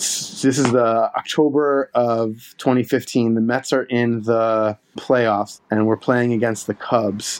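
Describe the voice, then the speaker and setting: A man's medium-pitched voice, monotone and flat, at a very slow pace. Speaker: baseball fan, storyteller. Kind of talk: casual chat.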